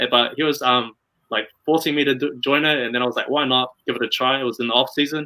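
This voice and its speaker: A man with a slight New Zealand accent talks at a very fast pace. His medium pitch follows fairly even intonation. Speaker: model and pageant contestant. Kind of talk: interview. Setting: live video stream.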